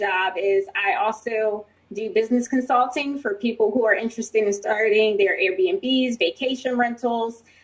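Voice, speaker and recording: Over noticeable background noise, a woman with an American accent speaks at a moderate pace in a fairly high voice with ordinary pitch variation. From New Jersey. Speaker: army officer and professor of military science. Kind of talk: panel introduction.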